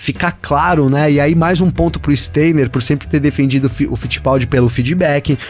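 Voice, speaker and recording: Over noticeable background noise, a man with a fairly high voice speaks at a moderate pace. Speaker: motorsport podcast co-host. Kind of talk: casual chat. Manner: animated.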